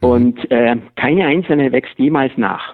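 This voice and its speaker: Lively intonation marks a man's ordinary speaking voice at a medium pitch. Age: 50s. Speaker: master hearing aid acoustician. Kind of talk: expert interview. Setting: phone call.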